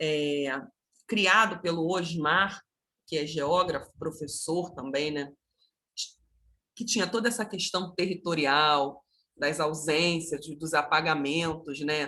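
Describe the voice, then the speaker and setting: Very slow with long, frequent pauses, a woman's very deep, low voice has a bright, sharp tone and ordinary pitch variation. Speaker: art educator, online course instructor. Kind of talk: online lecture.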